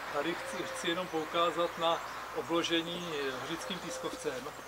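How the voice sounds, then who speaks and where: Loud background noise fills the clip. A man talks over it at a moderate pace. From Czechia, Kostelec nad Černými lesy; Czechia. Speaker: tour guide. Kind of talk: guided tour. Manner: halting. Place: garden.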